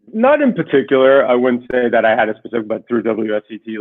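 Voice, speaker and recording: A man speaks with an American accent. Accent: sounds completely American. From Israel. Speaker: winery board member. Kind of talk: interview.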